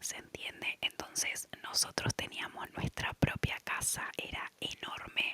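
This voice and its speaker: A woman whispers in a relaxed tone at a fairly slow pace. Noticeable background noise can be heard. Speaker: ASMR content creator. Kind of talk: ASMR storytelling, casual talk to camera. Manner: soft, relaxed, whispery.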